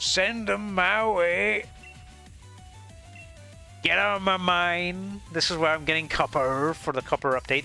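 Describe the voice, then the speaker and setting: A man does a put-on character voice, high-pitched and gravelly, with very wide pitch swings. He goes at a fairly slow pace with long, frequent pauses as clear music plays in the background. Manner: mock-gruff.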